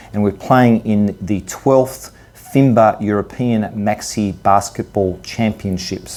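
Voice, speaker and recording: A man with an Australian accent talks at a very slow pace with hardly any pauses and fairly even intonation, against noticeable background noise. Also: fairly low pitch for a man. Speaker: interviewer and masters basketball player. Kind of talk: interview. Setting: on location at a tournament in Italy.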